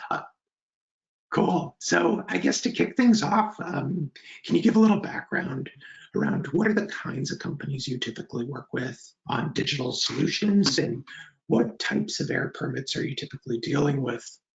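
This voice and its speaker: At a moderate pace, a man with a fairly high pitch makes very wide pitch swings. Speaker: webinar host, software company co-founder. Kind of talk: webinar.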